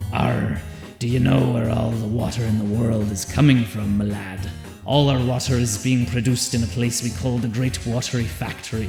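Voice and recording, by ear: A man's put-on character voice at a medium pitch and moderate pace, with clear music in the background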